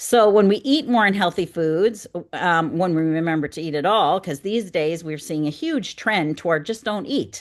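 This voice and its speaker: A woman with an Upper Midwest accent talks at a moderate pace against a quiet background. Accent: Upper Midwest American. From North Dakota, US Midwest. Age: 60s. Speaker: wellness coach. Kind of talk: webinar presentation.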